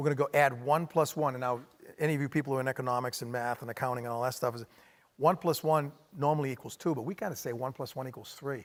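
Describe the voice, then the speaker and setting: This man talks at a very fast pace with a Maine accent. His pitch is medium, and his intonation is fairly even. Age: middle-aged. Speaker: hospitality company executive. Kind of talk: onstage interview.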